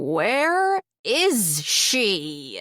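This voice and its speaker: The voice is a put-on character voice. Its pitch sits fairly high. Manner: cackling.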